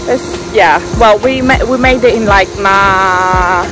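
A woman's voice with ordinary pitch variation, a dry sound with no echo, and clear music in the background. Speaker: travel vlogger. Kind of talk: casual vlog chat. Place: street. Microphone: phone near.

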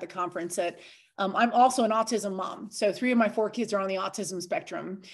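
Against a quiet background, a woman with an ordinary speaking voice talks at a fairly quick pace, her medium pitch carrying fairly even intonation. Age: 40s. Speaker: online fitness and nutrition coach. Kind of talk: casual group call chat. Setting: video call.

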